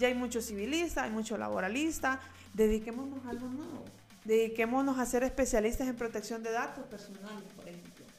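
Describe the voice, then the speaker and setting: A woman talks at a fairly quick pace with a fairly high pitch and ordinary pitch variation. There is audible room echo and noticeable background noise. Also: big swings in loudness. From Honduras, Tegucigalpa. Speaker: lawyer. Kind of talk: interview conversation. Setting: her office.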